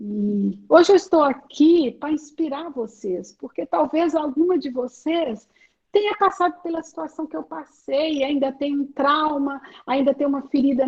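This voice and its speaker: A woman speaks at a fairly slow pace in a high voice with lively intonation. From Brazil, Minas Gerais (Belo Horizonte). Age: 60s. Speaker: women's ministry speaker. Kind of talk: testimony.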